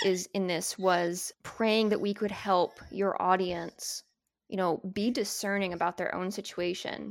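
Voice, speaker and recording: With a plain, everyday voice, a woman speaks at a fairly slow pace, medium pitch and fairly even intonation. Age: 30s. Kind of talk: casual chat.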